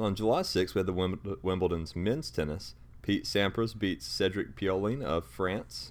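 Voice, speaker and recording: A man speaks in a very deep, low pitch with vocal fry. His pitch swings very widely. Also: moderate pace. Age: 20s. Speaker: sports podcast host. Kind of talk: casual chat.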